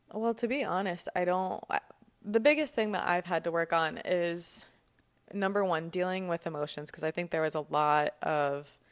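In an American accent, a woman speaks in an ordinary speaking voice at a moderate pace, fairly low in pitch with ordinary pitch variation. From New Jersey (Cherry Hill). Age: 20s. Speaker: podcast co-host. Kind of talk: casual interview about her life.

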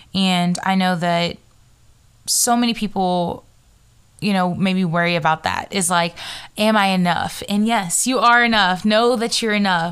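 On a very clean recording with a silent background, a woman with a normal speaking voice talks at a fairly slow pace and medium pitch, her intonation fairly even. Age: young. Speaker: podcast host. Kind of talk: casual monologue.

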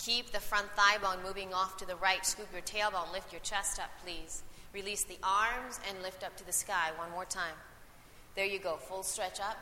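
A woman speaks at a medium pitch and a moderate pace in a calm, gentle tone. Her intonation is monotone and flat, while her loudness swings widely. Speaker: yoga teacher. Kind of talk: live guided yoga class instruction, cueing poses and breath. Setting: recorded live class with students in the room. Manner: calm, encouraging directives with gentle praise between cues.

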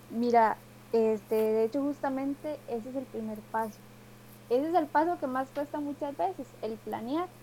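Speaking at a moderate pace with a Costa Rican accent, a woman uses a high pitch and ordinary pitch variation. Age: 20s. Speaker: leadership coach. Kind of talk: casual interview.

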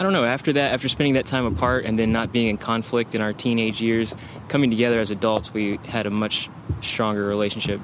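Over noticeable background noise, a man talks at a very fast pace with fairly even intonation and very even loudness. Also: medium pitch for a man. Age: 30s. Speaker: war veteran. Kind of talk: casual chat. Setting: outdoors.

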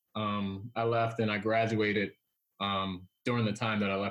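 A man talks at a moderate pace in a medium pitch. He has an ordinary speaking voice. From Washington DC. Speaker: economic development executive and author. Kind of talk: casual interview.

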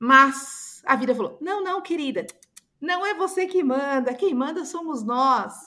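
Raised, projected woman's voice with a bright, sharp tone, lively intonation and a fairly slow pace. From Brazil. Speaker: image consultant. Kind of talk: podcast interview.

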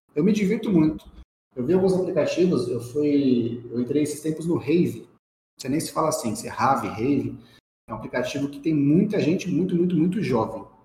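Somewhat breathy and fairly high-pitched, a man speaks at a fairly quick pace with a dark, mellow tone and lively intonation, with audible room echo. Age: 30s. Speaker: quality and process professional. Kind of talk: casual chat.

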